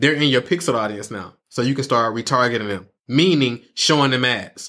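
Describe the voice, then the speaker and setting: A man with an Atlanta accent talks at a moderate pace in an animated, bright, sharp tone. His pitch varies in an ordinary way on a very clean recording with a silent background. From Atlanta, Georgia. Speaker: online marketing entrepreneur and coach. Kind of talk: podcast interview. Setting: studio.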